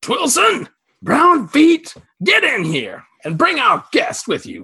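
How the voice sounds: The voice is a put-on character at an extremely high pitch. It moves at a fairly slow pace.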